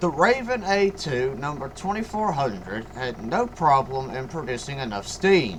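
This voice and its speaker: There is noticeable background noise as a man talks at a fairly slow pace. His pitch moves in very wide swings. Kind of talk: history narration. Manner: stuttering at times.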